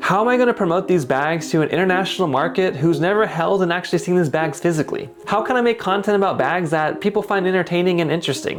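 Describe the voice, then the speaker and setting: Hardly pausing, the speech runs at a very fast pace over noticeable background noise. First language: not Japanese. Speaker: YouTuber and filmmaker. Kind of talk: scripted narration.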